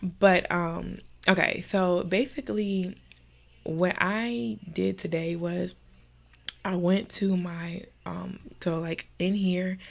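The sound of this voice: Nasal and edged with vocal fry, a woman's fairly low voice moves at a slow pace. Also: fairly even intonation.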